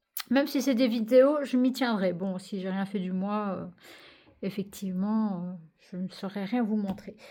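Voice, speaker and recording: A woman talks at a fairly slow pace, somewhat breathy. Her tone is dark and mellow. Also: ordinary pitch variation. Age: 30s. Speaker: coloring vlogger. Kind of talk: casual vlog chat. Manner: halting.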